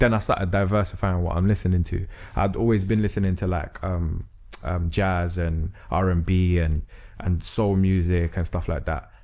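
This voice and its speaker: In a London accent, a man with a very deep, low pitch and a dark, mellow tone talks at a moderate pace with fairly even intonation. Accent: London multicultural English. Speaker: spoken word artist and rapper. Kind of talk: podcast interview. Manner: casual, lots of filler phrases.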